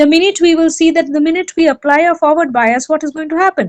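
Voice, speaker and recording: This woman's voice sits at an extremely high pitch. She talks at a fairly quick pace with fairly even intonation. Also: dry, close sound with no echo. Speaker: lecturer. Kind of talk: lecture. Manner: fast.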